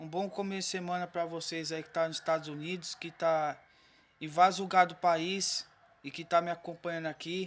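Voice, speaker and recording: A man speaks at a high pitch and moderate pace with monotone, flat intonation and big swings in loudness. The recording is very clean, with a silent background. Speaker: vlogger. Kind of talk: casual vlog talk to viewers.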